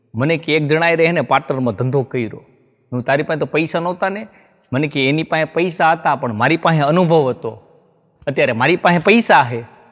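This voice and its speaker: Background sound stays quiet. The man speaks with ordinary pitch variation. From Gujarat, India. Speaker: stand-up comedian and writer; stand-up comedian. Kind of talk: comic storytelling monologue. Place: studio. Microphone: lapel.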